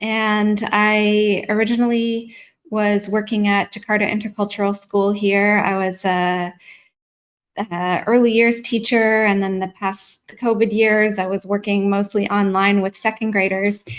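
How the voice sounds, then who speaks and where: A woman with a Canadian accent, a plain, everyday voice, fairly high pitch and a fairly slow pace. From Canada, near Toronto. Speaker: mindfulness practitioner and educator. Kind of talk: live online interview.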